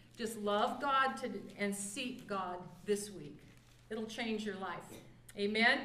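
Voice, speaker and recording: Very slowly, a woman speaks with ordinary pitch variation, and audible room echo surrounds her voice. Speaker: pastor. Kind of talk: sermon. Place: church. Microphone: camera far.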